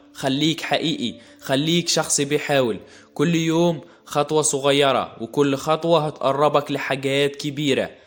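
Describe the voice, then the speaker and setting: A man's fairly high voice at a very slow pace and very even loudness, with music in the background. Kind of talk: motivational podcast talk. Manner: warm, encouraging.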